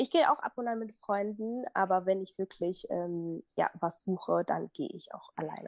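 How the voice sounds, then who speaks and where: Recorded dry and close with no echo, a woman speaks at a moderate pace with hardly any pauses. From Germany, Minden area. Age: 20s. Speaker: fashion blogger and visual merchandiser. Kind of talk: casual interview. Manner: hesitant, many fillers.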